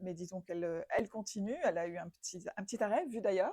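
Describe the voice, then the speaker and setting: Her dark, mellow tone sits at medium pitch as this woman speaks at a moderate pace with ordinary pitch variation. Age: older than 24. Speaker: interviewer. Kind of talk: semi-structured interview. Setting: living room. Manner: hesitant, many fillers.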